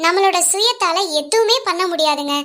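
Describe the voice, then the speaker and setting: A female-sounding cartoonish character voice at an extremely high pitch, fairly slow in pace. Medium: puppet. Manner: pleading, earnest.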